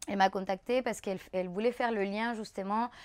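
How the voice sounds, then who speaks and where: A woman with a Spanish accent speaks at a medium pitch with fairly even intonation. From Chile. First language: Spanish (speaking French). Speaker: dancer and choreographer. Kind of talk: casual interview chat. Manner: halting, many hesitations.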